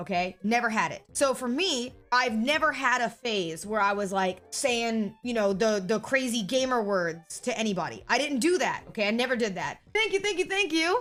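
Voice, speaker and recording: With music in the background, a woman at a fairly high pitch speaks at a moderate pace with hardly any pauses, her pitch swinging very widely. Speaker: streamer. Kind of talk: casual chat. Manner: animated.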